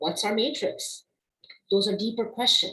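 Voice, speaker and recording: Speaking at a moderate pace with a non-native accent, a woman shows ordinary pitch variation, with audible room echo around her. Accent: non-native accent, permanent. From immigrant family, raised partly abroad before Canada. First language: not English (trilingual). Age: 40s. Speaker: diversity consultant and instructor. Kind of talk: webinar lecture. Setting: online webinar.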